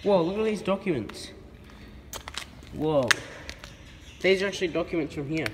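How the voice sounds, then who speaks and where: Speaking at a moderate pace with ordinary pitch variation, a man with a high pitch is heard over noticeable background noise. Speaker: urban explorer vlogger. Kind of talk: casual vlog chat. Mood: surprised, curious. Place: factory. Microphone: phone near.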